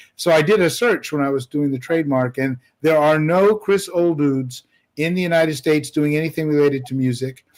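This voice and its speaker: A man speaks fairly quickly in an unremarkable speaking voice. His pitch is fairly high with ordinary variation. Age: 60s. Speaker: musician. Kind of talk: casual chat. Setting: livestream panel.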